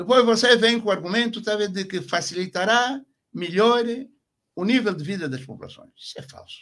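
Against a quiet background, a man with a high pitch and ordinary pitch variation speaks at a moderate pace, with big swings in loudness. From Angola, Bengo region; Angola. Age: 70s. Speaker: retired army general; interview guest. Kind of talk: radio interview. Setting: radio studio. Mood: critical, impassioned. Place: studio. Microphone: studio mic.

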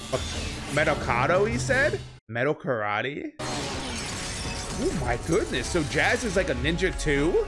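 The speech moves at a fairly slow pace while clear music plays in the background. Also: man. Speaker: reaction video host. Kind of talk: casual reaction commentary. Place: home room. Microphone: studio mic.

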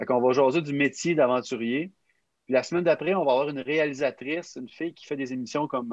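A man speaks very fast in a Quebec accent with ordinary pitch variation, the sound dry with no echo and the background quiet. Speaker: youth podcast facilitator. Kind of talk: casual chat. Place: home room. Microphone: video call.

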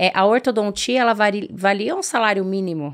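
A woman talks with ordinary pitch variation, the background quiet. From Brazil, interior of Paraná. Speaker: dentist and aesthetics entrepreneur; podcast guest. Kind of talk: interview. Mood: friendly, smiling. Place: studio. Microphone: studio mic.

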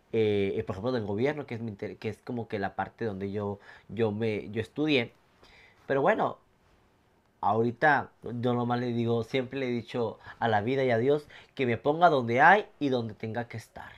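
Medium-pitched male voice with ordinary pitch variation and a moderate pace. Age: 30s. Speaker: nightclub entertainer with ichthyosis; podcast guest. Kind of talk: casual chat; interview answer. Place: home room. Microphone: lapel.

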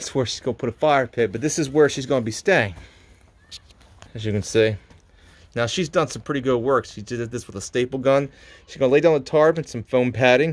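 At a fairly quick pace, a man talks with ordinary pitch variation and big swings in loudness. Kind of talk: casual vlog walkthrough. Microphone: phone near.

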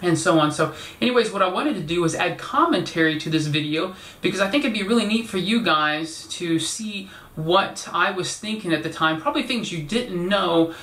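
Audible room echo surrounds a man speaking at a fairly quick pace with a high pitch and ordinary pitch variation. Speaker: video creator. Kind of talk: casual vlog chat. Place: home room. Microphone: camera far.

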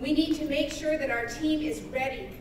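A woman speaks at a moderate pace in a room with audible echo and noticeable background noise. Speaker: emcee. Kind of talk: rally announcements. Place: hall. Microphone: camera far.

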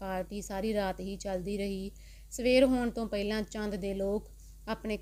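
A woman speaks at medium pitch in a dark, mellow tone. Her intonation is monotone and flat. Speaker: audiobook narrator. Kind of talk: scripted story narration, bedtime storytelling.

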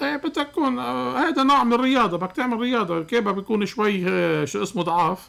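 Speaking fairly quickly with hardly any pauses, a man with a Lebanese accent uses a bright, sharp tone and a high pitch that swings very widely. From Lebanon. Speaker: cardiologist; guest. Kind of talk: radio call-in medical advice. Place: studio. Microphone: studio mic.

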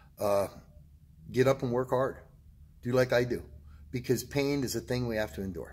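A somewhat breathy man talks at a moderate pace with ordinary pitch variation and long, frequent pauses. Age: 60s. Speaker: vlogger sharing health and fitness motivation. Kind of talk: motivational monologue. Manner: animated. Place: gym. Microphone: phone near.

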